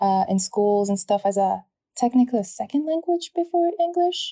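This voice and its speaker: A woman with a French accent speaks at a moderate pace in a dark, mellow, somewhat breathy tone, her pitch swinging very widely in a dry, close sound with no echo. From French Polynesia (Tahiti and a smaller island). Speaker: translator, podcast guest. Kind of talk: casual interview chat.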